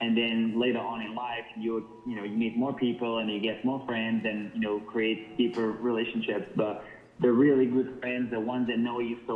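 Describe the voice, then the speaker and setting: A man with a Portuguese accent, medium pitch and monotone, flat intonation at a moderate pace. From northern Portugal. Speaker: model. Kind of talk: interview. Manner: halting.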